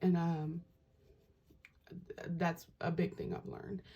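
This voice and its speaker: Soft-spoken and somewhat breathy, a woman speaks slowly, fairly low in pitch, with a dark, mellow tone and a fairly slow pace. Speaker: tarot reader and spiritual vlogger. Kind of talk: casual vlog monologue. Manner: soft-spoken, talking low; halting, many fillers.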